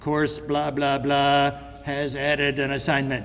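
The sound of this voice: In a put-on, robotic character voice, a man with a fairly high pitch talks at a fairly slow pace in a monotone, flat intonation, with clear background noise behind him.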